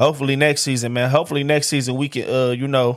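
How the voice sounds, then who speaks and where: An animated man with a fairly high pitch speaks at a very fast pace on a very clean recording with a silent background. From Detroit, Michigan. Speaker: sports podcast host. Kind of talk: casual solo sports talk. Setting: studio.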